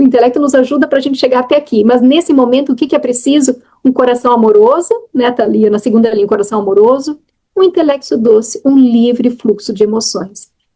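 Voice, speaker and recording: High in pitch, a woman's voice carries a dark, mellow tone with ordinary pitch variation. She speaks at a fairly quick pace with very even loudness. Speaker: spiritual teacher, nun. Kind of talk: dharma talk after group meditation. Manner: halting, many self-corrections; casual, conversational.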